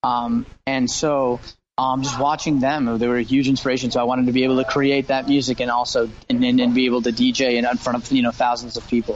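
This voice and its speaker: Speaking with an American accent, a man holds a medium pitch and a monotone, flat intonation. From US, Los Angeles. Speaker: singer-songwriter and producer. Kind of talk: interview. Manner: halting, many fillers and repeats.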